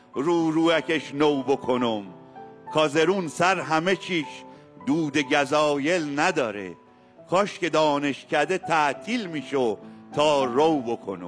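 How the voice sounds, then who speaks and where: With music playing in the background, a man with a fairly high voice speaks at a very slow pace and with lively intonation. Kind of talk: poetry reading.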